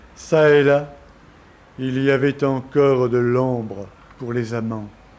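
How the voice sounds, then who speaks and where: A man talks at a very slow pace with fairly even intonation. Audible room echo surrounds his voice. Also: medium pitch for a man. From France, Marseille. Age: 40s. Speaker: documentary narrator. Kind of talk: scripted narration.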